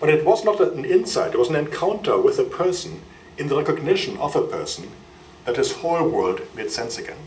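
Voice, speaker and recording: A man with a German accent talks at a fairly quick pace. Audible room echo and noticeable background noise are present. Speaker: friar and biochemist. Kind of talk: lecture. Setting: university lecture hall with audience.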